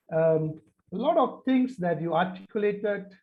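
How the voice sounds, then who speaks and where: Here a man speaks with a Tamil accent. His pace is moderate and his pitch variation ordinary. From Malaysia. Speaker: panelist. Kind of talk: panel discussion. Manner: halting.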